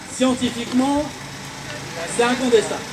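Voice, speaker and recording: Over noticeable background noise, a man talks at an extremely high pitch. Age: 60s. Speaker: self-taught physicist and inventor. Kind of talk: speech at a protest. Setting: outdoor protest rally.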